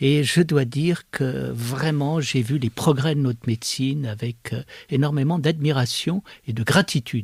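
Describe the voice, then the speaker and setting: This man's voice is fairly high and somewhat breathy, with ordinary pitch variation. He speaks fairly slowly, and the sound is dry and close with no echo. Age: 70s. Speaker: philosopher. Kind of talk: interview. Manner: hesitant, many fillers.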